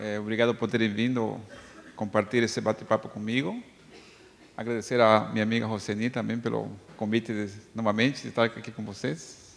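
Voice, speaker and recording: At a fairly quick pace yet with long, frequent pauses, a man speaks in a fairly low pitch with monotone, flat intonation. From Bolivia. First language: Spanish (speaking Portuguese). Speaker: psychologist. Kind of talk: lecture. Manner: hesitant, with filler sounds.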